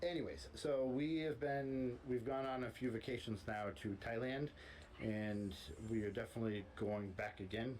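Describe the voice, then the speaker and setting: This speaker has an American accent, ordinary pitch variation and very even loudness. Noticeable background noise runs behind the voice. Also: man. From United States. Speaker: expat vlogger. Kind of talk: casual chat.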